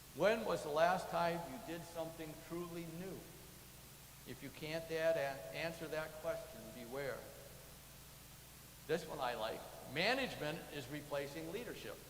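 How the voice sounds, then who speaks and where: With an American accent and a fairly high pitch, a man speaks over noticeable background noise, with audible room echo. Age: 70s. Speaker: church lay leader. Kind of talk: sermon. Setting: church.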